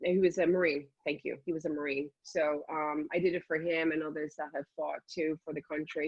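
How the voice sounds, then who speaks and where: A woman with an Irish accent talks at a fairly quick pace. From Dublin, Ireland. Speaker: health and fitness enthusiast. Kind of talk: interview answer. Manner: enthusiastic.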